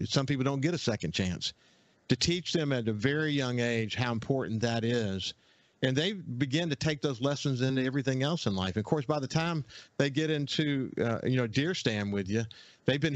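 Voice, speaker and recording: With a Southern US accent, a man talks at a fairly quick pace and medium pitch, with ordinary pitch variation, against a quiet background. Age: 60s. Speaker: outdoors radio host. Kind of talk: casual radio interview chat. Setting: radio studio.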